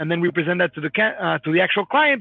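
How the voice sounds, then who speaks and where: A man's voice with fairly even intonation over music in the background. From Mexico City. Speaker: company founder and CEO. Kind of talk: live Q&A webinar. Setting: live online video stream. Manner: fast.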